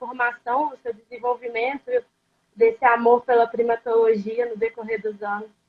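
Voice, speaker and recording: Pitch varies in an ordinary way. The pace is fairly slow. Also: woman. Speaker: student interviewer. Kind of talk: interview.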